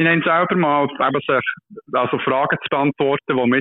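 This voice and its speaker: At a moderate pace, a man uses an ordinary speaking voice with a fairly high pitch and fairly even intonation. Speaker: doctoral researcher. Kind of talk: casual interview explaining a study. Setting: phone call. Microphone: poor phone line, hard to hear.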